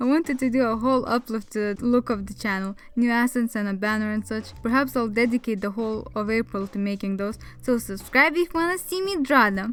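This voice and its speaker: At a fairly quick pace, a woman with a non-native accent speaks at a fairly high pitch with ordinary pitch variation. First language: not English. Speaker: artist. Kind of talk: voiceover over drawing video. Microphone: new mic, had mic problems.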